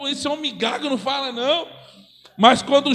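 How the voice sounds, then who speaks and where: A man's voice at an extremely high pitch, with fairly even intonation. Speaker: preacher. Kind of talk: sermon. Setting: church.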